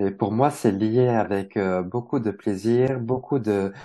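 Against a quiet background, a man talks very slowly at a fairly low pitch, his tone dark and mellow and his intonation fairly even. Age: 40s. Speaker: numerologist and wellbeing practitioner. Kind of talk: casual interview.

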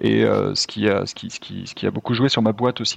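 Moderately paced, a man talks at a medium pitch with fairly even intonation. The sound is dry and close, with no echo. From France. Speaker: entrepreneur. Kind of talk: casual chat. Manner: hesitant, many fillers.

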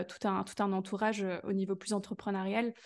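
Against a quiet background, a woman speaks at medium pitch and a fairly slow pace. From Belgium. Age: 20s. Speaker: business coach. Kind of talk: casual interview chat.

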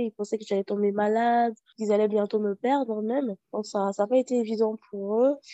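Over music in the background, a woman speaks in a monotone, flat intonation at a fairly high pitch and a moderate pace. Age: 30s. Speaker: HIV activist. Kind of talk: personal testimony interview.

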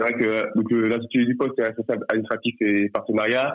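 The man has a medium pitch. He talks at a fairly quick pace. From France, Nantes. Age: 20s. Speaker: sports club marketing manager. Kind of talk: interview. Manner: halting, many fillers.

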